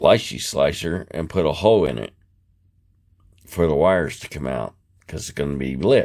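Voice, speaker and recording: At a moderate pace and with long, frequent pauses, a man with a very deep, low pitch and vocal fry speaks in lively intonation, his loudness swinging widely. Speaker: scale model builder. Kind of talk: casual tutorial talk to camera.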